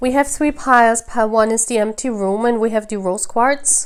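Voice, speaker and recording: A woman with a non-native accent speaks in a high pitch with ordinary pitch variation. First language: non-native English speaker. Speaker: tarot reader. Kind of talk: tarot reading to camera.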